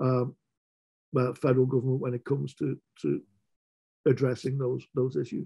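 A man's medium-pitched voice, dark and mellow with a slightly husky edge, at a moderate pace with little pitch movement

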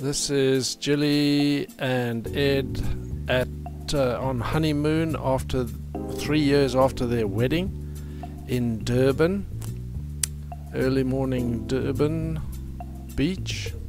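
Very slow speech with long, frequent pauses, dry with no echo, over music in the background. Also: man. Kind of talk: home movie narration.

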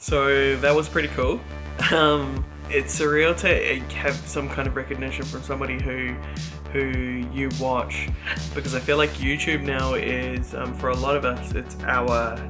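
A man talking at a fairly slow pace over clear background music. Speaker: vlogger. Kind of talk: casual vlog chat. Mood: pleased, reflective. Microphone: webcam.

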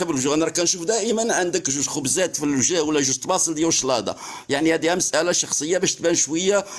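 This man's voice sits fairly high in pitch. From Morocco. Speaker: TikTok live participant. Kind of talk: heated debate. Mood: mocking, sarcastic. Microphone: phone near.

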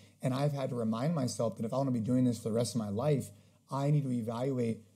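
The voice is dark, mellow and somewhat breathy, moving at a very fast pace with ordinary pitch variation over a quiet background. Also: man. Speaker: podcast guest. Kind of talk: interview answer.

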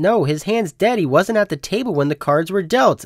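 A man puts on a whiny character voice, high in pitch, with a whiny tone, lively intonation and a moderate pace.

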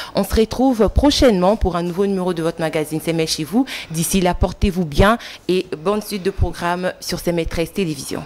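A woman speaks in a normal speaking voice, fairly low-pitched, with ordinary pitch variation and a moderate pace. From DR Congo. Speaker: TV presenter. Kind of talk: political talk show. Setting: TV studio. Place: studio. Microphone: studio mic.

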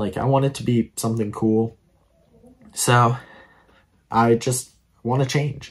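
A man's somewhat breathy voice at a medium pitch, fairly slow in pace. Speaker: gaming YouTuber. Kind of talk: personal announcement monologue. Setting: home recording setup with green screen. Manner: halting, with fillers and nervous laughs. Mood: reflective, a bit disappointed. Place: home room. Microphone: phone near.

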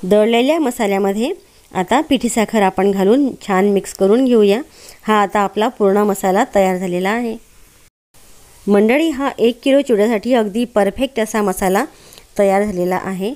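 A woman speaks in a dark, mellow tone with ordinary pitch variation against a quiet background. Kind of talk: cooking tutorial. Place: kitchen.

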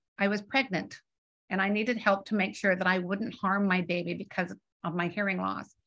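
In a Canadian accent, a woman talks fairly quickly with a bright, sharp tone, vocal fry and fairly even intonation. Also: quiet background. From Canada. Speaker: author and hearing loss advocate. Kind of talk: book presentation and Q&A. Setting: video call. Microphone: video call.

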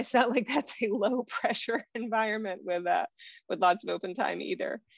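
Here a woman has an ordinary speaking voice. Her pitch is fairly high, with ordinary pitch variation. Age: 40s. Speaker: author and nonprofit education worker. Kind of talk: interview conversation.

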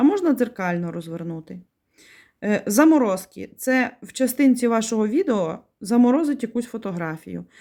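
A woman's dark, mellow tone at a fairly high pitch, with very wide pitch swings and a moderate pace, on a very clean recording with a silent background. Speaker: video blogger. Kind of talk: tutorial. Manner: explanatory, friendly.

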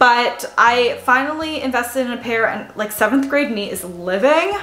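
At a moderate pace, a woman speaks at a high pitch with audible room echo. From Canada. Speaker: fashion YouTuber. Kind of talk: casual haul video talk to camera. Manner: animated. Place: home room. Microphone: camera far.

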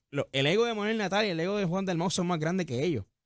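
The background stays quiet. A man talks with a high pitch. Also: dry sound with no echo. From Puerto Rico, Dorado; Puerto Rico. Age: young. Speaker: young political activist; talk show guest or co-host. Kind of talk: radio interview. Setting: studio. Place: studio. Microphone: studio mic.

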